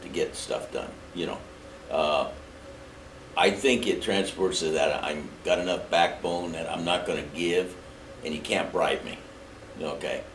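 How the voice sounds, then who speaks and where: A man speaks at a moderate pace with an American accent. Noticeable background noise and audible room echo are present. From Indiana, US Midwest. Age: 70s. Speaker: mayoral candidate, retired marine. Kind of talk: interview. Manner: blunt, plain-spoken.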